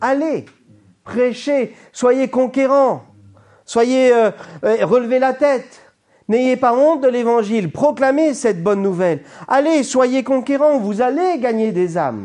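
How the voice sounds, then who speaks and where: A man's extremely high voice with a dark, mellow tone, at a very slow pace, with ordinary pitch variation, very even loudness and a quiet background. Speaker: pastor. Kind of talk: sermon.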